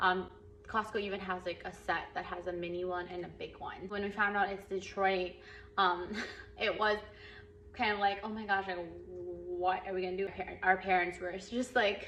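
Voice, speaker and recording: Speaking with an American accent at a moderate pace, the voice holds a monotone, flat intonation, with noticeable background noise and audible room echo. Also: woman. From California, Los Angeles (from Philippines at 11). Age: 20s. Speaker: vlogger. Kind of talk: casual vlog talk with tips. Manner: casual, many fillers (um, like).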